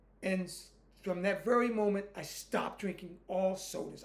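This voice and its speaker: A man with an American accent and a high voice speaks at a moderate pace with fairly even intonation, his words carrying an audible room echo. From United States. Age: 60s. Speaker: YouTuber, Air Force veteran. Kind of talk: casual monologue.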